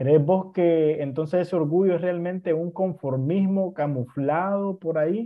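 A man speaks in a high voice with hardly any pauses. His intonation stays fairly even. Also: fairly slow pace. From Nicaragua. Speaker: podcast host. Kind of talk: casual interview chat.

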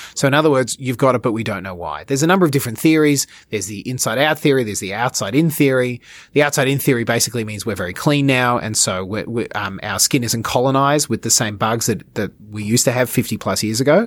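In an Australian accent, a man of medium pitch talks at a very fast pace with hardly any pauses, on a very clean recording with a silent background. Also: ordinary pitch variation. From Australia, Melbourne. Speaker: dermatology and wound care clinician. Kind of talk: expert interview. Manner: halting, many repeated words.

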